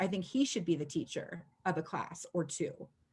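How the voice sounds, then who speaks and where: On a very clean recording with a silent background, a woman speaks at a fairly slow pace in a somewhat breathy voice. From US Pacific Northwest (Washington state). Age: 50s. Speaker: chalk art mentor and retired school principal. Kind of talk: casual video chat. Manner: animated.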